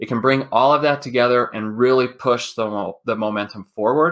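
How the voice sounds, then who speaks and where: At a fairly quick pace, an ordinary speaking voice moves with ordinary pitch variation on a very clean recording with a silent background. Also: man. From Utah. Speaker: business consultant. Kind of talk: interview.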